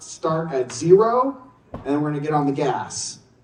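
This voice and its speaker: An animated man's voice amid audible room echo and noticeable background noise. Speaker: conference speaker. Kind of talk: conference presentation. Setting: stage with audience. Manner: fast.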